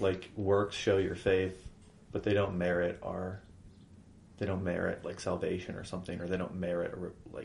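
A man's very deep, low voice, somewhat breathy and monotone, at a moderate pace with long, frequent pauses. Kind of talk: casual chat about faith.

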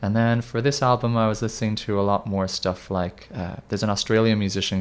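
Moderately paced, a man speaks in a plain, everyday voice at a fairly low pitch. His intonation is fairly even, and the recording is very clean with a silent background. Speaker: indie band musician. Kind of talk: casual interview.

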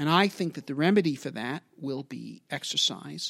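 A man speaks at a fairly slow pace. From New York (Brooklyn, Long Island). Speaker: aerospace engineer and author. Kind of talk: interview. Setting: office.

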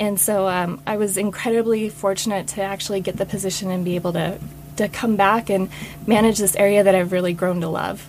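In a normal speaking voice, a woman talks at a fairly quick pace with medium pitch and fairly even intonation. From US Mountain West (Utah, Wyoming, Idaho). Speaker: public land manager. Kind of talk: interview. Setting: studio.

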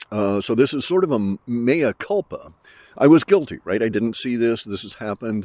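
At a moderate pace, a man speaks with a dark, mellow tone, medium pitch and lively intonation, his loudness swinging widely in a dry, close sound with no echo. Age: old. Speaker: podcaster. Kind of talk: casual monologue. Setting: outdoors. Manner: halting.

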